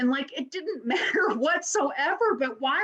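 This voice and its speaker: A woman with an American accent, moderate pace and very wide pitch swings, over noticeable background noise. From Louisville, Kentucky, US. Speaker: university administrator. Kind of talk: panel discussion.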